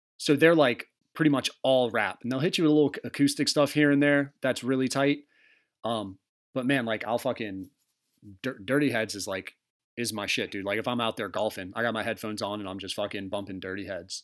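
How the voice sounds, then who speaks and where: This man has a normal speaking voice at medium pitch with ordinary variation, talking at a fairly quick pace in a very clean recording with a silent background. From Arizona. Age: 30s. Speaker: podcast host. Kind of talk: casual chat.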